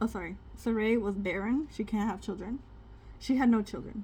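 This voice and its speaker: A woman speaks with a non-native accent. Her voice has vocal fry. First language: not English. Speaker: spiritual content creator. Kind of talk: casual Bible reading with commentary. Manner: conversational, hesitant with fillers.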